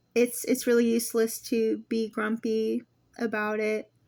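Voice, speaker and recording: A woman with a fairly high voice speaks very slowly on a very clean recording against a silent background. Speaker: fitness coach. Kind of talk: casual talk to camera. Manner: easy-going, relaxed; hesitant, many filler words.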